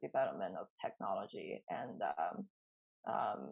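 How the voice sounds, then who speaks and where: This woman has a Chinese accent. She speaks at a very slow pace. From China. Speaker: artist. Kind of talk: interview. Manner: hesitant, many fillers.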